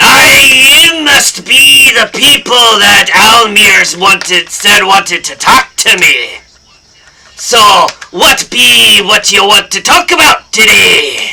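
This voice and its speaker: This man speaks very slowly in a put-on character voice. His pitch sits high. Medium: actual play. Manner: gruff, blustering.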